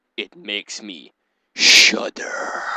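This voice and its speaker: This is a put-on character voice. The sound is dry and close, with no echo. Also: man. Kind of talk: mock-dramatic reading. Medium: game stream.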